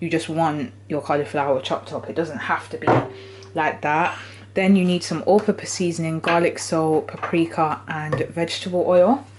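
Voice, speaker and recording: A woman with a British accent and a fairly low voice speaks at a moderate pace with ordinary pitch variation, amid noticeable background noise. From Britain, British Jamaican. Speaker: cooking channel host. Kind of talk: cooking tutorial. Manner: casual, chatty.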